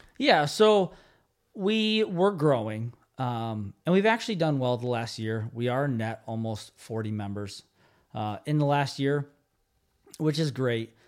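Very clean, silent-background recording of a man at medium pitch and a fairly slow pace, with very wide pitch swings. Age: 30s. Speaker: gym owner. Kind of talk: casual chat.

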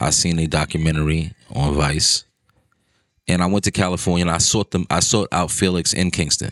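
At a fairly quick pace, a man speaks with a very deep, low pitch, fairly even intonation and very even loudness. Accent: New York. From New York. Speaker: podcast host. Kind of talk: casual chat.

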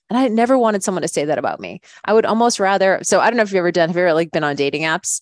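A woman speaks at a very fast pace, her medium-pitched voice moving with lively intonation. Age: 40s. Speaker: fitness coach and podcast host. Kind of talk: casual chat.

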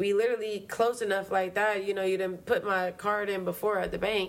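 The woman speaks in an animated tone. Her pace is fairly quick. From Baltimore, Maryland. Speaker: podcast co-host. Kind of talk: casual chat.

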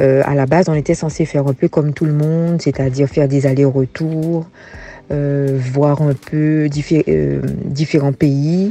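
A woman's voice sits very deep and low as she talks at a fairly slow pace. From Guadeloupe, Basse-Terre area. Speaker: former teacher turned farmer. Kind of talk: interview, personal life story.

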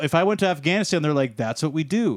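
In a very clean recording with a silent background and a dry, close sound with no echo, a man talks in an unremarkable speaking voice with fairly high pitch and ordinary pitch variation. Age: 20s. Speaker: podcast co-host. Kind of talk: casual chat.

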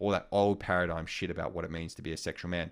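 A man with an Australian accent talks at a fairly quick pace in a very deep, low pitch, on a very clean recording with a silent background. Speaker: sex coach and sexologist. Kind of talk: intimate interview conversation. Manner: hesitant, many fillers.

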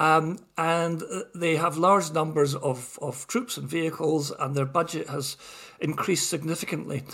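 With a slight Scottish accent, a man speaks at a moderate pace in a high pitch. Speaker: retired army officer. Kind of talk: casual chat.

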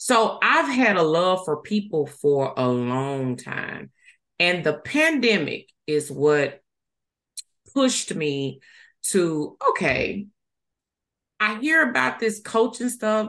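Someone with a Southern US accent speaks at a very slow pace, pitch swinging very widely, with long, frequent pauses. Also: woman, medium pitch for a woman. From US South, Mississippi. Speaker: life coach. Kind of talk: casual chat.

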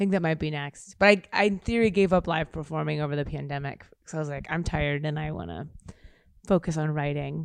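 A woman with an American accent speaks at a fairly quick pace. Her very deep, low pitch shows ordinary variation. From US Midwest, Kansas City. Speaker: actor and comedian. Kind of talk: casual chat.

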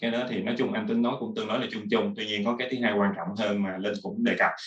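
Fairly level intonation from a man, his pitch in the middle range. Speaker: program manager. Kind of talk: casual panel discussion. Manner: halting, many fillers.

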